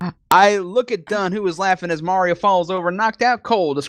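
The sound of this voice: An unforced reading voice carries the whole clip.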